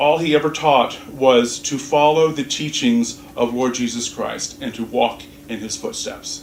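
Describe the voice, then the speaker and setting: Against noticeable background noise and audible room echo, a man with an American accent talks at a fairly slow pace with a fairly high pitch and hardly any pauses. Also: ordinary pitch variation. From US South. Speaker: minister. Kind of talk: sermon. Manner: halting, many fillers and restarts.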